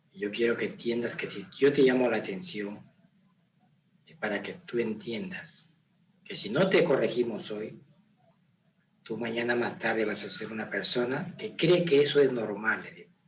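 In a room with audible echo, a man with a medium-pitched voice speaks at a fairly slow pace in a calm tone, with lively intonation, big swings in loudness, and long, frequent pauses. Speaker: father of the host. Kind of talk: casual chat. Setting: on camera.

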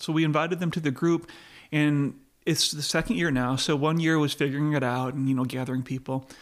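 A man with an American accent has a plain, everyday voice in a fairly high pitch at a fairly quick pace. The recording is very clean, with a silent background. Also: fairly even intonation. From US, not the South. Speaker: pastor and entrepreneur. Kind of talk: casual interview.

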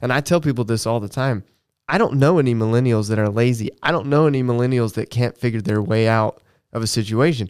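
In a dry, close sound with no echo and a very clean recording with a silent background, a man with an American accent uses an ordinary speaking voice at medium pitch, ordinary pitch variation and a fairly quick pace. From US South, Augusta, Georgia. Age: 30s. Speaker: church co-host. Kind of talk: casual chat.

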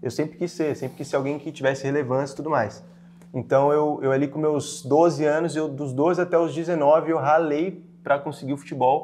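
A man talks at a fairly high pitch and a moderate pace. His intonation is flat and monotone. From Brazil, Franco da Rocha, São Paulo state. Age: 20s. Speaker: digital marketing entrepreneur. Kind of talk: podcast interview.

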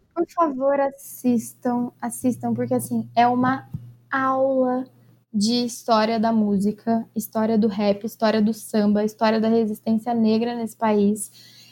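A woman's fairly high voice with fairly even intonation and very even loudness, over background music. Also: fairly slow pace. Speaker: podcast co-host. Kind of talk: casual chat. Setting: virtual call.

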